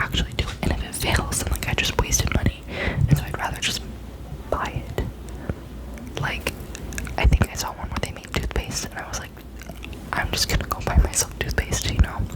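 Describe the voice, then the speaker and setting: A whisper at a moderate pace, with noticeable background noise. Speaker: ASMR content creator. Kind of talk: casual ASMR whispered talk to camera, sharing opinions.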